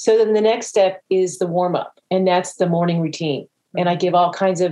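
With an American accent, a woman speaks at a medium pitch in a dark, mellow tone. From Florida, US South. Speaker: fitness trainer, massage therapist and author. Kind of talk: interview, telling her story. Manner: animated.

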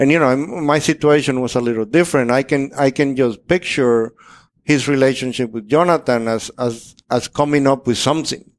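At a moderate pace, a man with a Spanish accent speaks at medium pitch. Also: fairly even intonation. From Dominican Republic. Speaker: master printer. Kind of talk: casual interview.

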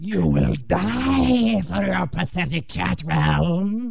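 A man drawls out a put-on character voice at a very slow pace.

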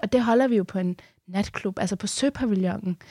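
An ordinary speaking voice at a moderate pace, captured in a very clean recording with a silent background and a dry, close sound with no echo. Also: woman. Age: 20s. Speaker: radio host. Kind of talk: interview. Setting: studio.

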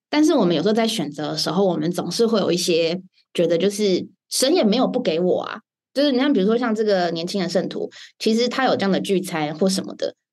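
Intonation rises and falls in a lively way as a woman talks. She moves at a very fast pace. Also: medium pitch for a woman. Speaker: podcast host.

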